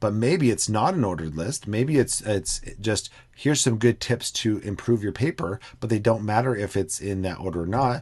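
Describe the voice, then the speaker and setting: Somewhat breathy, with lively intonation, the voice sits over a quiet background. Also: man, fairly low pitch for a man. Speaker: educational technology trainer; instructor. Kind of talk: screen-recorded tutorial. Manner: fast; hesitant with fillers.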